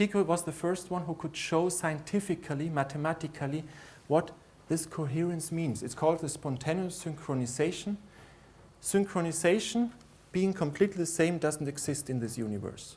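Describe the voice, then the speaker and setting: Speaking with a German accent, a man has a fairly high pitch and ordinary pitch variation. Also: moderate pace. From Austria. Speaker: lecturer. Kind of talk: conference lecture. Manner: halting.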